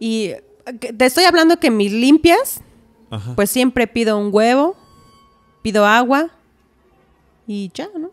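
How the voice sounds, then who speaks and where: Against a quiet background, a woman talks fairly slowly with fairly high pitch and lively intonation. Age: 30s. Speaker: massage therapist and homemaker; podcast guest. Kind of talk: testimony. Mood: earnest, at times distressed. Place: studio. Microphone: studio mic.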